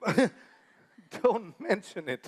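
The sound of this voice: Using a put-on character voice, a man speaks very slowly at a high pitch with big pitch swings.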